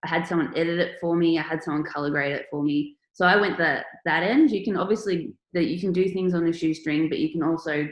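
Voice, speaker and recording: With an Australian accent, a woman speaks at a very fast pace with hardly any pauses, her fairly low voice keeping a fairly even intonation. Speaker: artist and online workshop presenter. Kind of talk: online workshop presentation.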